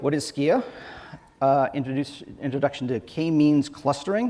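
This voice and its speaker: A man speaks with ordinary pitch variation. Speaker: software engineer, conference speaker. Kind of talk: conference talk. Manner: fast.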